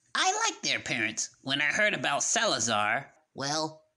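A woman does a cartoonish character voice at a low pitch with big pitch swings, a bright, sharp tone and a fairly slow pace.

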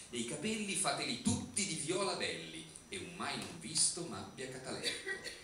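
A man's high voice at a moderate pace, with music in the background and audible room echo. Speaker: writer. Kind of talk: poetry reading. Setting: live before theatre audience. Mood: ironic, theatrical. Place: stage.

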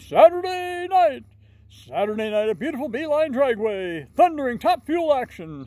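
A man puts on a character voice at an extremely high pitch. He talks at a fairly slow pace. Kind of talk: casual vlog chat. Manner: hyped-up announcer delivery. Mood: playful, mimicking radio ad.

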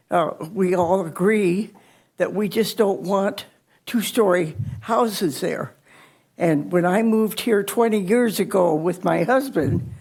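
Audible room echo surrounds a woman speaking at a fairly slow pace. Her voice is medium-pitched with ordinary pitch variation. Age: 90s. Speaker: resident speaking at public comment. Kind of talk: public comment testimony. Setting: city council meeting. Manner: halting.

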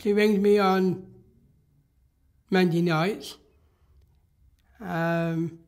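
A man speaks in a high voice at a very slow pace, with long, frequent pauses. His intonation stays fairly even against a quiet background. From England. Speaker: interviewee. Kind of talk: interview answer. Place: home room.

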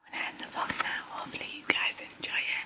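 Whispering from a woman. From North East England, County Durham. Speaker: college student and vlogger. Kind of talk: casual vlog talk to camera. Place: home room. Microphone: phone near.

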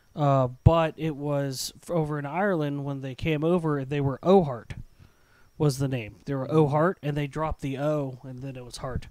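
A man with a fairly high pitch speaks at a moderate pace, his loudness swinging widely. The sound is dry, with no echo. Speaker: podcast co-host. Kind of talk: casual chat. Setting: live stream. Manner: animated. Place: home room. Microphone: handheld.

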